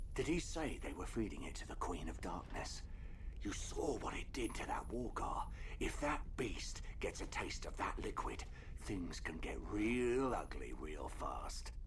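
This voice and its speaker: A man's put-on character voice at a moderate pace, with clear background noise behind it. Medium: video game. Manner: measured, wry.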